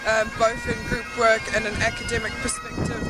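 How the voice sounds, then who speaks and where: At a moderate pace, the voice comes through dry with no echo while clear music plays in the background. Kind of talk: interview answer. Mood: relaxed, cheerful. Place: street. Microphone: phone near.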